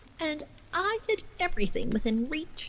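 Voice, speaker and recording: Against clear background noise, a woman uses a put-on character voice at an extremely high pitch with very wide pitch swings. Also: moderate pace. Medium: read story. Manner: excitable, childish.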